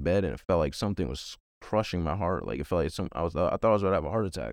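A man's very deep, low voice with vocal fry and an American accent, at a very fast pace with ordinary pitch variation over a quiet background. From Virginia, US. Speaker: evangelist and peer recovery specialist. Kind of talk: testimony.

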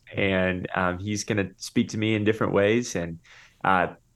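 A man's plain, everyday voice at a moderate pace against a quiet background. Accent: American. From Florida, US. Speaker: pastor and author. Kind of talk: interview.

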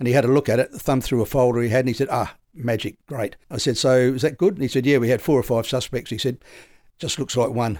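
The speaker talks at a very fast pace in an Australian accent. Pitch variation is ordinary. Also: man, medium pitch for a man. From South Australia. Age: 70s. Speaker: retired police detective. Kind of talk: interview.

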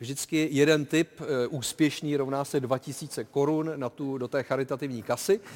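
A man with a plain, everyday voice keeps fairly even intonation and a moderate pace. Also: fairly high pitch for a man. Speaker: TV football show host. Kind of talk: casual TV studio talk show.

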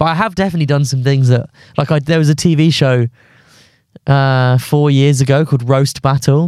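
A man speaks with a southern English accent at a fairly quick pace. His intonation stays fairly even. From southern England (London and Surrey). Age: 20s. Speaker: stand-up comedian. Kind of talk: casual chat. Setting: studio.

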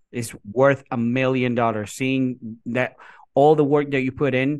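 A man speaks with a Puerto Rican accent. His pitch sits in the medium range. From Puerto Rico. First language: Spanish. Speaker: kindergarten teacher. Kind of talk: interview.

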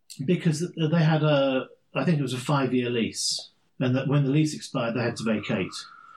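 Speaking fairly quickly with an English accent, a man uses a medium pitch and ordinary pitch variation. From England, London. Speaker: podcast co-host. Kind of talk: casual chat.

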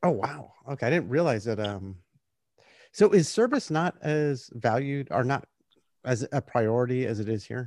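Lively in intonation, a man with an American accent and a plain, everyday voice speaks at a moderate pace and medium pitch. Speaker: podcast host, US Navy veteran. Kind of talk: interview conversation.

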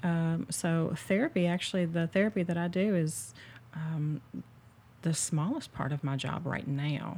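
A woman's fairly low, dark and mellow voice, somewhat breathy, at a fairly slow pace with ordinary pitch variation. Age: 40s. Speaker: therapist. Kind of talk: casual chat.

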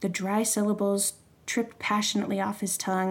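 Someone reads aloud in a natural voice here.

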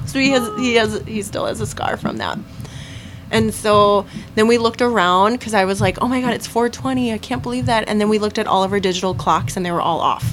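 At a fairly quick pace, a woman speaks at medium pitch with very wide pitch swings. Noticeable background noise runs behind her. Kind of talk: ghost story telling, casual chat. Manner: animated, conversational storyteller.

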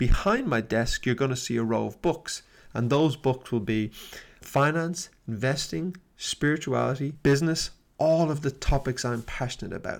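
This man has a plain, everyday voice, fairly high in pitch, moving at a moderate pace with lively intonation on a very clean recording with a silent background. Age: 50s. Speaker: podcast host and business coach. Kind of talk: solo motivational talk. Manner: warm, conversational.

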